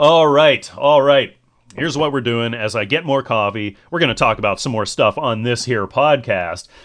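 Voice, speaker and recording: A man speaks in a normal speaking voice at medium pitch. His pace is moderate, with ordinary pitch variation. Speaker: podcast host. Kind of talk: casual solo podcast monologue. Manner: rambling, casual, chatty.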